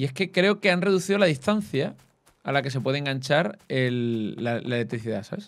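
His pitch swinging very widely, this man keeps a moderate pace. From Cádiz, Andalusia, Spain; Andalusia, Spain. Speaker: gaming YouTuber. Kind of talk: casual gaming chat. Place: home room. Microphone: studio mic.

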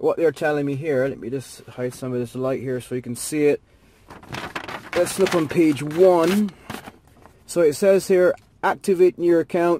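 Over light background noise, a man talks at a fairly slow pace in a dry sound with no echo. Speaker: gadget reviewer. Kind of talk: tutorial. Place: car. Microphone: phone near.

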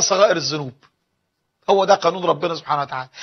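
The man's intonation is lively, and the background stays quiet. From Egypt. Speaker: Islamic preacher. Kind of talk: religious lecture. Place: studio. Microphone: lapel.

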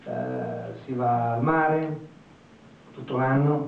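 There is light background noise and audible room echo. A man speaks with a fairly high pitch in a monotone, flat way. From Italy. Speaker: architect; architect lecturer. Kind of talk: lecture. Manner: halting. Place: classroom.

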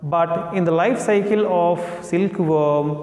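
A man is speaking. The room echo is audible. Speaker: school teacher. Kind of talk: lecture. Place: classroom. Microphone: lapel.

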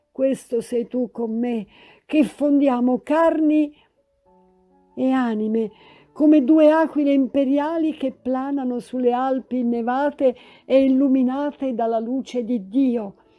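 Over music in the background, the speaker goes at a very slow pace with long, frequent pauses and fairly even intonation. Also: woman, high pitch for a woman. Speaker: actress, poet and historian. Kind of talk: dramatic literary reading of a love letter. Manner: passionate, emotional.

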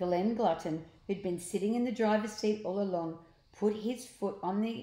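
A natural voice, reading aloud.

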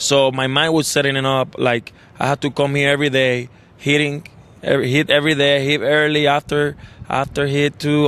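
Dry with no echo, a man's voice comes at a moderate pace. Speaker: interview guest. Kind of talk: interview answer. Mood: relaxed, reflective. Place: stadium. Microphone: handheld.

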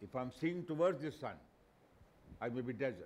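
A man speaks with lively intonation and some vocal fry. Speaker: lecturer. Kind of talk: lecture. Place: studio. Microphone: headset.

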